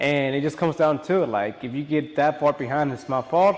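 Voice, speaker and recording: Fairly high male speech over noticeable background noise. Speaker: barber. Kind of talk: casual vlog talk to camera. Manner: fast.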